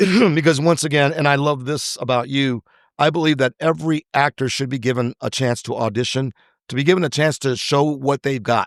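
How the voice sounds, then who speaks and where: The background stays quiet. An unremarkable speaking voice goes at a fairly quick pace, its pitch varying in an ordinary way. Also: man, fairly high pitch for a man, dry, close sound with no echo. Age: 60s. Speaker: actor and screenwriter. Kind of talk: interview conversation.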